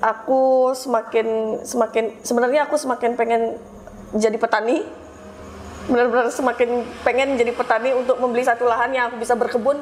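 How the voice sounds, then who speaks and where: With a Balinese accent, a woman at a high pitch talks at a fairly quick pace in very even loudness and monotone, flat intonation, over noticeable background noise. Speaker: pottery studio owner. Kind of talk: interview. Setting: pottery studio gallery.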